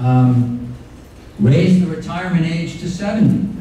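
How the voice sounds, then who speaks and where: A man with an American accent and lively intonation at a moderate pace, amid audible room echo and noticeable background noise. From Florida, Miami Beach. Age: 70s. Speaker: retired advocacy lawyer. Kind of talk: talk to a club audience. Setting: club meeting with audience. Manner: hesitant, many fillers.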